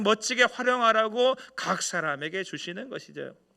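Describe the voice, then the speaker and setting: A man talks at a high pitch and a moderate pace. His voice is raised and projected. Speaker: senior pastor. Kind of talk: sermon. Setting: church.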